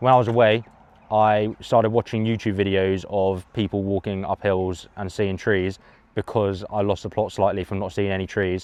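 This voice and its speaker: A man speaks in a fairly low voice with a deadpan tone and flat, monotone intonation. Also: moderate pace. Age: 20s. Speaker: runner friend. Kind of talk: casual vlog chat.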